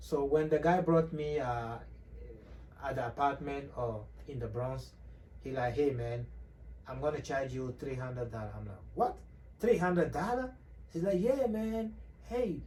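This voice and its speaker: With audible room echo, a man speaks at a moderate pace in a dark, mellow, somewhat breathy tone, his pitch swinging very widely between long, frequent pauses. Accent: Togolese. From Togo. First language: Kotokoli. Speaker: immigrant sharing his story. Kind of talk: interview.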